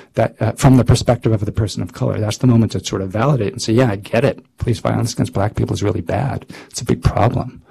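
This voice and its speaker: Amid noticeable background noise, a man talks at a very fast pace with hardly any pauses, a medium pitch and ordinary pitch variation. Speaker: psychology researcher and speaker. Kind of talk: lecture. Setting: grand rounds talk with audience.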